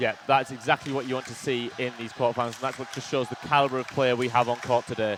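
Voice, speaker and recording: A man at medium pitch, very fast with hardly any pauses, monotone and flat, big swings in loudness, noticeable background noise. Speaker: sports commentator. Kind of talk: live commentary.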